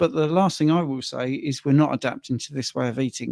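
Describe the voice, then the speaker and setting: On a very clean recording with a silent background, a man with a plain, everyday voice speaks at a medium pitch and a fairly quick pace, the sound dry and close with no echo. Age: 60s. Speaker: livestream co-host, carnivore diet influencer. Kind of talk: livestream Q&A. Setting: livestream.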